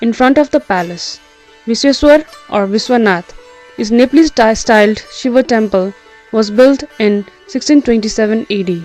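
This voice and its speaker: With music in the background, a woman speaks at a moderate pace in a fairly high pitch with ordinary pitch variation. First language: not English. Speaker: architecture student. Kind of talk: educational architecture history narration.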